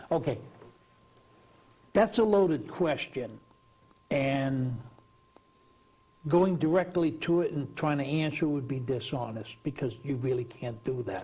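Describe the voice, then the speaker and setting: A man speaks slowly in a somewhat breathy, fairly high voice with lively intonation. Long pauses come often. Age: 60s. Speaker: TV talk show host, former prisoner. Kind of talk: TV interview.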